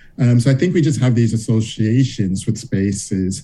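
Speaking fairly slowly with an American accent, a man uses a medium pitch, lively intonation and a dark, mellow tone that is somewhat breathy. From US South, Charleston, South Carolina. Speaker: law professor. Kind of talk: interview.

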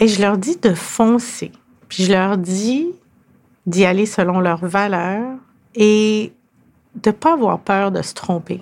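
A woman's medium-pitched voice at a very slow pace, with ordinary pitch variation and long, frequent pauses. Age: 50s. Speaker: lawyer and business executive. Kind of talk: interview.

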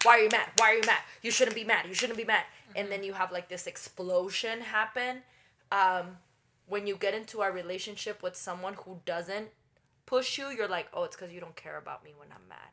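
A woman speaks at a medium pitch and a fairly quick pace, with fairly even intonation. It is an unremarkable speaking voice. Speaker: podcast co-host. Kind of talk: casual podcast chat about relationships.

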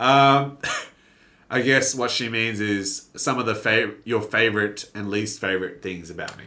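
Speaking at a fairly slow pace, a man with a fairly low pitch and bright, sharp tone shows ordinary pitch variation and big swings in loudness. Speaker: YouTuber comedian and radio host. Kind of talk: casual chat. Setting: studio. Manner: animated.

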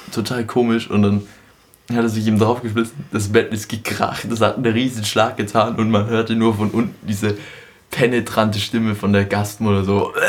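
A man speaks in a flat monotone. Noticeable background noise runs under his voice. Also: medium pitch for a man, moderate pace. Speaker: podcast host. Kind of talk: casual chat.

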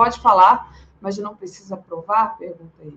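A woman's somewhat breathy, fairly high voice moves at a moderate pace. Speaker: news show co-host. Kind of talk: live political talk show.

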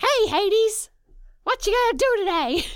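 A woman puts on a character voice pitched extremely high for a woman. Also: moderate pace. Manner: casual, cartoonish.

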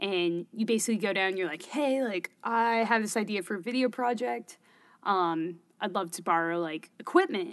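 In a normal speaking voice, a woman talks with an American accent at a moderate pace. Her pitch is medium, with lively intonation. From Bay Area, California. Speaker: filmmaker and startup founder. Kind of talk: casual interview conversation.

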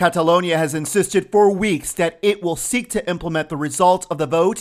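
A man talks at a moderate pace with a high pitch and ordinary pitch variation. The recording is very clean, with a silent background. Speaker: news reporter. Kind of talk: news reading, scripted breaking-news bulletin. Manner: formal, measured, steady; brisk, neutral, authoritative.

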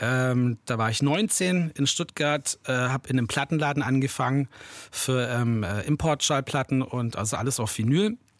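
A man with an unremarkable speaking voice talks at medium pitch and a moderate pace, his loudness very even. The recording is very clean and dry, close with no echo, over a silent background. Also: ordinary pitch variation. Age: 40s. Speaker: hip-hop producer and DJ. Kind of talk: interview. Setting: home studio.

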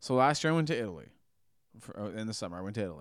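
Lively in intonation, a man talks with a fairly low pitch. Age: 30s. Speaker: podcast co-host. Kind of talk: casual chat. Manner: animated.

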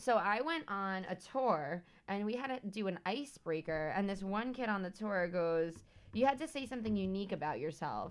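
This woman talks at a moderate pace with lively intonation and a medium pitch, in a normal speaking voice. The background is quiet. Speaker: podcast co-host. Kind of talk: casual chat.

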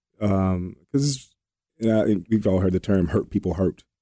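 In a Southern US accent, a man with a very deep, low pitch and a dark, mellow tone speaks at a moderate pace, the sound dry and close with no echo. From Alabama. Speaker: co-host. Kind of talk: casual chat. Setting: studio. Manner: halting.

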